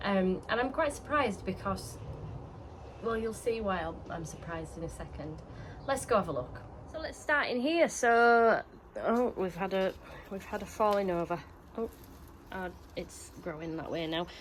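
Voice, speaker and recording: Very wide pitch swings in a Yorkshire accent, moderate pace, long and frequent pauses. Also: woman, medium pitch for a woman. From Yorkshire, northern England. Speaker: allotment gardening vlogger. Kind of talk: casual vlog talk to camera. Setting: outdoors on allotment. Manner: chatty with frequent fillers.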